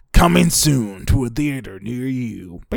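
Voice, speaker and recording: Putting on a gravelly character voice of medium pitch, a man delivers his lines in a dramatic tone at a fairly slow pace. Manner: dramatic, gravelly.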